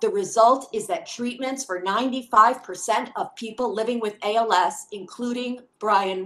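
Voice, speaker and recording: A woman's tone is bright and sharp. Her pitch variation is ordinary. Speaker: hearing witness reading testimony on a spouse's behalf. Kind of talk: formal testimony read aloud. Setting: congressional committee hearing. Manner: formal. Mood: earnest, urgent. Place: home room. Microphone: webcam.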